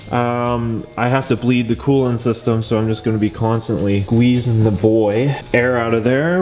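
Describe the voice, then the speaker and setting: A man talks at a moderate pace with a medium pitch. Music can be heard in the background. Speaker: car enthusiast YouTuber. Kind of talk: vlog commentary. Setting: garage. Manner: casual, filler-heavy.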